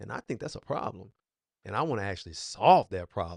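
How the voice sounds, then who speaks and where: The man's tone is animated and his pace is very fast. His sound is dry and close, with no echo. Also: quiet background. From Texas, Fort Worth. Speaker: music producer and livestream host. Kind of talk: casual livestream talk.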